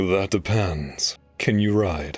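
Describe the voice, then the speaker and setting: A man's put-on character voice, very deep and low in pitch. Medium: audio drama. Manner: curt, authoritative.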